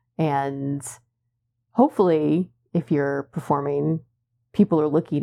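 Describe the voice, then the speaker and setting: A woman speaks with a very deep, low pitch and a dark, mellow tone. Her pace is fairly slow, and her pitch varies in an ordinary way. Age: 30s. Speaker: belly dancer and dance teacher. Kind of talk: casual chat.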